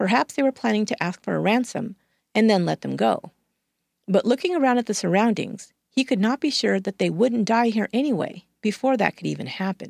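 Recorded very cleanly with a silent background and a dry, close sound with no echo, a woman speaks fairly quickly at a fairly high pitch, with vocal fry and ordinary pitch variation. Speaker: true crime podcast host. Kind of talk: scripted true-crime narration. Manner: measured, steady storyteller.

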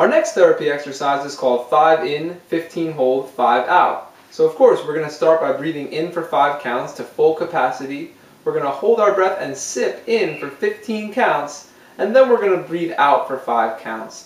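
With audible room echo, a man talks at a moderate pace with hardly any pauses. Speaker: music teacher. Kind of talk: tutorial. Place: empty room.

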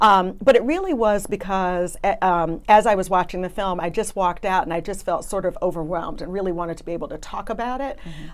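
A woman with an American accent at a very fast pace, with ordinary pitch variation. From US, Brooklyn, New York. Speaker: trial attorney. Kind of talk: casual interview discussion. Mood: earnest, reflective. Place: studio.

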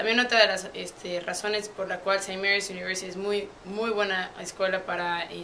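A woman speaks in a Mexican accent at a medium pitch and moderate pace. Her intonation is flat and monotone, with light background noise. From Puebla, Mexico. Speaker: university student athlete. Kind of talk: interview answer. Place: office.

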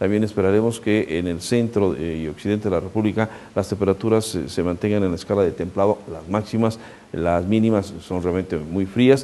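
A man speaks at a moderate pace in a dark, mellow tone. His pitch is fairly low, with ordinary pitch variation. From Mexico. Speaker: weather forecaster; TV presenter. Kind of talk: weather forecast. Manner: conversational, addresses viewer directly. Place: studio. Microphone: lapel.

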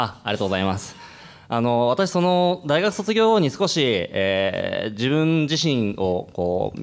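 Against a quiet background, a fairly high-pitched man speaks at a fairly slow pace with very wide pitch swings. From Iwaki, Fukushima, Japan; Fukushima, Japan. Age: 30s. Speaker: restaurant business owner; panelist. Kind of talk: panel discussion. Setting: stage with audience. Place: hall. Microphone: podium.

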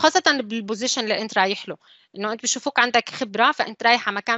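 Using a normal speaking voice, a woman with a fairly high pitch shows ordinary pitch variation. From UAE (Syrian family). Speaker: civil engineer, design manager. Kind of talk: online panel talk.

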